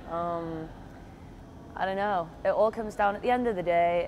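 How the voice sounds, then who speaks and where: A woman speaks at a fairly quick pace with a British accent. Noticeable background noise runs underneath. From Britain. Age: 20s. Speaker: college swimmer. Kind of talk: interview. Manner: hesitant, many fillers. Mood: relaxed, reflective. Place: hall. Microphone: lapel.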